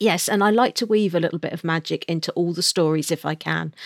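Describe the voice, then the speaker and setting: A woman with a fairly low voice speaks at a moderate pace with ordinary pitch variation, in a dry, close sound with no echo. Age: 40s. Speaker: novelist. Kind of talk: interview. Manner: hesitant with fillers.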